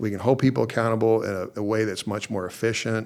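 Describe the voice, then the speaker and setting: A man with an American accent talks at a fairly quick pace in a fairly low pitch. His intonation stays monotone and flat. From Oklahoma. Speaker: judge. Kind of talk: interview. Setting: judge's chambers in courthouse.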